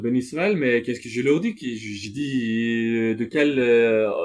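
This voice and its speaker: With a non-native accent, a man speaks at a medium pitch and a moderate pace, showing ordinary pitch variation. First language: not French (speaking French). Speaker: religious speaker. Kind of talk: spoken reflection monologue. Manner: halting, many hesitations.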